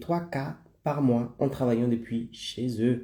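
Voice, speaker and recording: Talking at a fairly slow pace, a man has a medium-pitched voice with a dark, mellow tone that is somewhat breathy. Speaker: online business coach. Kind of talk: live stream presentation. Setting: live stream.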